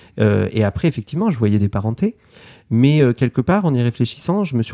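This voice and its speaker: Medium in pitch with a dark, mellow tone, a man talks at a fairly quick pace and with lively intonation. The sound is dry and close with no echo, on a very clean recording with a silent background. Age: 30s. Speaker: illustrator. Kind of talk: interview. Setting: artist's studio. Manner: hesitant, many fillers and repetitions.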